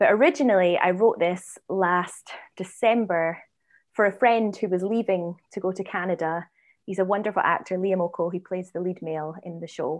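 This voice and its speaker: Against a quiet background, a woman talks at a moderate pace with a Scottish accent. Her pitch sits at a medium level and varies in an ordinary way. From Scotland, Edinburgh. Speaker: writer, director and actress. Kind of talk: interview.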